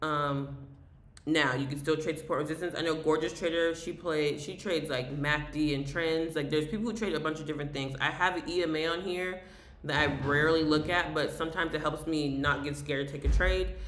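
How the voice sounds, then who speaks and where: With an American accent, the speaker talks at a fairly quick pace over noticeable background noise. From US South. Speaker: day trader streamer. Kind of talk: live trading tutorial. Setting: live stream. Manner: fast; mumbling.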